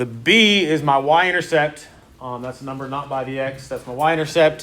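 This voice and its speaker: There is audible room echo. A man speaks at a fairly high pitch with ordinary pitch variation. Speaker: math teacher. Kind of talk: lecture. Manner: fast.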